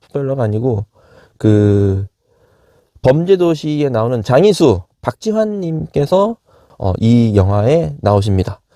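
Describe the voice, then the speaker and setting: A man's medium-pitched voice, dark and mellow in tone, at a fairly slow pace with very wide pitch swings and a dry, close sound free of echo. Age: 50s. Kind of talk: casual movie review talk to camera.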